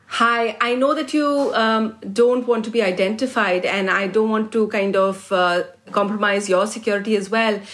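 A woman speaks in a normal speaking voice with fairly high pitch, keeping a moderate pace, fairly even intonation and hardly any pauses. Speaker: radio host interviewer. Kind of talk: interview.

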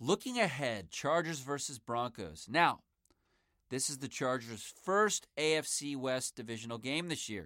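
A man speaks in a normal speaking voice at a medium pitch, with lively intonation and a fairly slow pace. The recording is very clean, with a silent background. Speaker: sports podcast host. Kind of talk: sports podcast commentary. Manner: casual, conversational.

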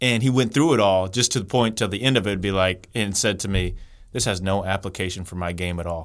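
With an unremarkable speaking voice, a man talks at a fairly quick pace, fairly low in pitch, with ordinary pitch variation. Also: very clean recording, silent background. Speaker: basketball trainer and author. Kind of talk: casual interview. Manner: upbeat, friendly.

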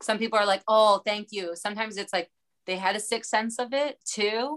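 In a slight Baltimore accent, a woman speaks at a fairly high pitch with a bright, sharp tone. Her pace is moderate, her pitch variation ordinary, and the sound dry and close with no echo. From US, Baltimore. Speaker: comedian. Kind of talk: casual chat. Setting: podcast interview.

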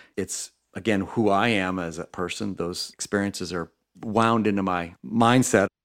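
In a very clean recording with a silent background, a man with an American accent speaks at a moderate pace. He has a plain, everyday voice, a fairly low pitch and fairly even intonation. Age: 50s. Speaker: resort company executive. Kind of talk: radio interview.

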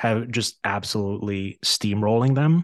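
In a dry, close recording with no echo and a quiet background, a man with an unremarkable speaking voice talks at a medium pitch with ordinary pitch variation. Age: 30s. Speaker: hockey podcast host. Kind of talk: casual chat.

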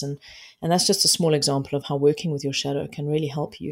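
A woman in a South African accent with ordinary pitch variation. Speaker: life coach. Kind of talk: interview conversation. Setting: remote interview.

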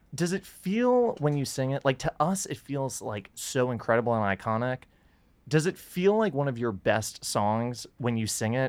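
A man talks at a moderate pace in an ordinary speaking voice, medium in pitch with lively intonation. The recording is very clean, with a silent background. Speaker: podcast interviewer. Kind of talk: casual interview chat.

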